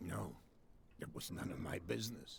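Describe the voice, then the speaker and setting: In a raspy, put-on character voice, a man talks at a moderate pace over clear background noise. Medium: video game. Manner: evasive, guarded.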